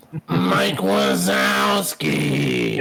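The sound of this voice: A man puts on a character voice that is raspy and very deep in pitch. Clear background noise runs underneath.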